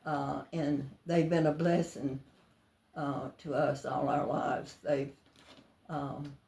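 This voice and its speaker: A woman's very slow, monotone delivery in a coastal Georgia accent, with long, frequent pauses, a very deep, low pitch, a dark, mellow tone and a somewhat breathy sound. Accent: Southern US, coastal Georgia. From US South, Georgia (near Savannah). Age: 90s. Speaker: elderly church member interviewed. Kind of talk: life story interview. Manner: halting.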